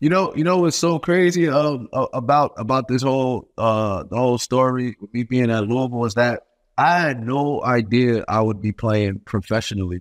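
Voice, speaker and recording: A man with a New York accent, medium pitch, and ordinary pitch variation, at a moderate pace with hardly any pauses, in a dry, close sound with no echo. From Brooklyn, New York. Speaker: professional basketball player and bourbon entrepreneur. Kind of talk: casual interview.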